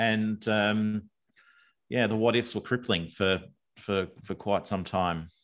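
Using an Australian accent, a man talks at a very slow pace in a fairly low pitch, with fairly even intonation and long, frequent pauses. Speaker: former bank executive. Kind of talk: casual interview. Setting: video call from backyard workshop.

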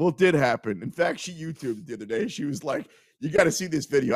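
This man, with an American accent, speaks at a very fast pace with very wide pitch swings. The recording is very clean, with a silent background. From Kansas City, US Midwest. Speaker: sports betting radio host. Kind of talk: casual sports talk show.

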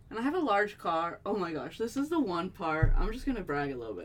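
Music plays in the background as a woman with an American accent speaks at a fairly low pitch and a fairly quick pace. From Los Angeles area, California (South Gate). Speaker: podcast co-host. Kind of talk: casual chat.

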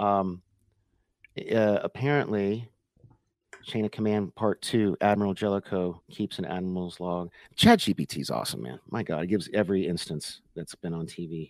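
The sound is dry and close with no echo as a man speaks in an ordinary speaking voice, fairly low-pitched, at a moderate pace with ordinary pitch variation. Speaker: co-host. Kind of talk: casual chat. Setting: live stream.

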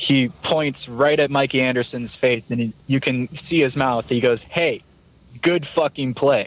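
A man speaks at a fairly slow pace with fairly even intonation and medium pitch, in a plain, everyday voice. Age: 20s. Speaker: hockey fan podcast guest. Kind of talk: casual chat.

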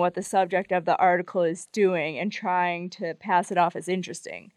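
With an ordinary speaking voice, a woman at medium pitch talks at a fairly quick pace, recorded dry and close with no echo against a quiet background. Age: 20s. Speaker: editor and writer. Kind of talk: casual chat.

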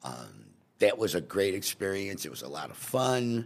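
This man talks at a moderate pace, with vocal fry running through his voice. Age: 70s. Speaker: restaurant owner. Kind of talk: casual chat.

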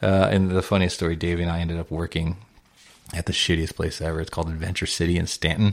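A man with an American accent speaks very fast in a very deep, low, monotone, flat voice. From Southern California, South Bay. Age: 30s. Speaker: record label president. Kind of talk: casual chat.

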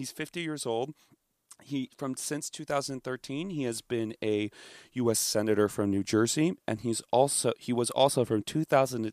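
In a very clean recording with a silent background and a dry, close sound with no echo, a man speaks in a normal speaking voice at medium pitch, with ordinary pitch variation and a moderate pace. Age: 20s. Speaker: political commentator guest. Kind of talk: reading aloud; casual chat.

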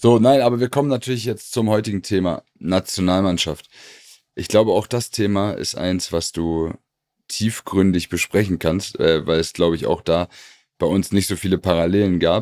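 A man with an ordinary speaking voice, fairly low-pitched with ordinary pitch variation, at a moderate pace, in a dry, close sound with no echo on a very clean recording with a silent background. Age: 30s. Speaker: former footballer and podcast co-host. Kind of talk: casual chat.

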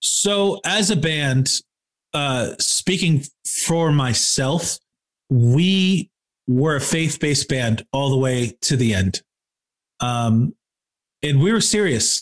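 In a dry, close sound with no echo, a man with an American accent speaks at a very slow pace and fairly high pitch, with lively intonation, very even loudness, and long, frequent pauses. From Michigan, Kalamazoo. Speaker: rock band musician and podcaster. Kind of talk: casual interview chat.

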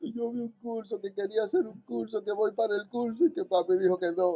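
In a Dominican accent, the speaker talks at a moderate pace with a dark, mellow tone. The pitch swings very widely. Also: man. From Dominican Republic, Santo Domingo. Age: 40s. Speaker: paramedic and first-aid instructor. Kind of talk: interview.

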